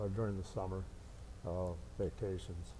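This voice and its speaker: With light background noise behind him, a man speaks in a very deep, low pitch and a dark, mellow tone. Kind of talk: interview answer. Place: hall. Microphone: lapel.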